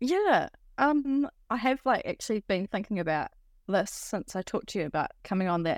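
A woman in a New Zealand accent, fairly high in pitch with very wide pitch swings and a moderate pace, in a very clean recording with a silent background and a dry, close sound with no echo. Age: 30s. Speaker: artist. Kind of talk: interview.

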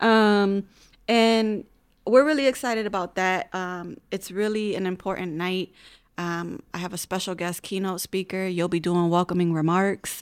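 A woman with an American accent speaks at a moderate pace and a medium pitch. Her pitch variation is ordinary, and the recording is very clean with a silent background. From Hartford, Connecticut. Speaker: school district family engagement coordinator. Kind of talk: casual interview chat. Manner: hesitant, many fillers.

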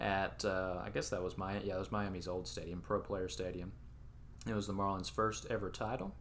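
A man speaks at a fairly quick pace in a very deep, low pitch. His voice has vocal fry and ordinary pitch variation. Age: 20s. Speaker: sports podcast co-host. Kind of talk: casual chat.

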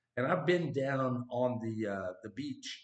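A man talks fairly slowly, his voice somewhat breathy. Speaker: podcast host. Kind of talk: casual intro chat. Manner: enthusiastic, animated.

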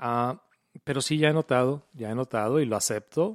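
This man has a normal speaking voice at medium pitch and a moderate pace, recorded very cleanly against a silent background with a dry, close sound and no echo. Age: 40s. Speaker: podcast host and radio announcer. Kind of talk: casual chat.

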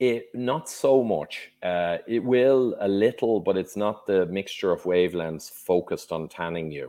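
A fairly slow pace in an Irish accent, with hardly any pauses. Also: man, fairly low pitch for a man, lively intonation. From Ireland. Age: 50s. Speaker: engineer and health author. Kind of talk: podcast interview.

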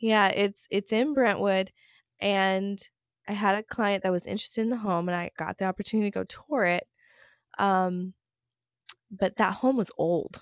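A woman with an American accent, medium in pitch, with fairly even intonation, a moderate pace, long, frequent pauses and a dry, close sound with no echo. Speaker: podcast host, real estate agent. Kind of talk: casual chat.

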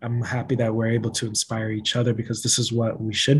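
A man speaks at a fairly quick pace with a medium pitch. His voice is somewhat breathy. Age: 30s. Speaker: social worker and podcaster. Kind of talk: casual chat.

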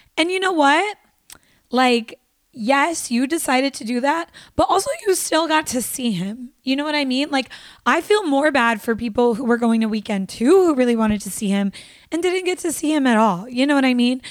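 A woman speaks in a high voice with lively intonation and an animated tone. Her pace is moderate. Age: 20s. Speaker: podcast host and actress. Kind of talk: solo casual monologue.

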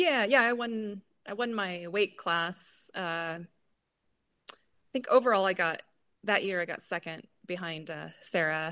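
Against a quiet background, a woman speaks at medium pitch in a bright, sharp tone. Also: ordinary pitch variation. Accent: American. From Idaho, US. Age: 40s. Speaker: grip sport athlete. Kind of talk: casual interview. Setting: remote call.

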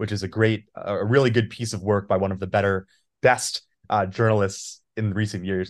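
A man with an ordinary speaking voice talks at a moderate pace and a fairly low pitch with fairly even intonation against a quiet background. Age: 20s. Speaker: podcast host. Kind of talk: interview.

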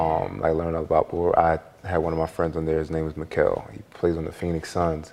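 A man speaks with an American accent at a very fast pace. His pitch is very deep and low. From Philadelphia, US. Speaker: former basketball player, media personality. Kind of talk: casual interview, storytelling.

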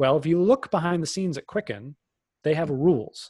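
A man with a plain, everyday voice speaks at a fairly quick pace with ordinary pitch variation, on a very clean recording with a silent background and a dry, close sound with no echo. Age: 30s. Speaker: business expert and keynote speaker. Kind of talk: interview.

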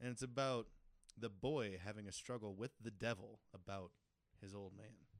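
Fairly low in pitch with fairly even intonation, a man talks at a moderate pace in an unremarkable speaking voice. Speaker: comedy podcast co-host. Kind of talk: casual comedy banter. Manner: confident, joking, profane.

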